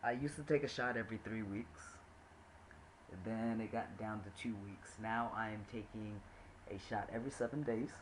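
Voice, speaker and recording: The speech moves at a moderate pace with fairly even intonation and long, frequent pauses. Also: man, medium pitch for a man. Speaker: vlogger and teacher. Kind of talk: casual video diary. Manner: halting, many fillers.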